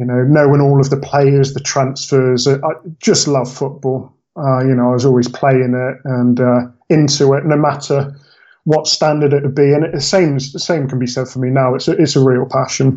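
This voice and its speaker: Flat, monotone intonation marks this man's fairly high voice as he speaks at a moderate pace. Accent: slight West Country. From Bristol, England. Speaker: football fan, podcast guest. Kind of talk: casual interview chat.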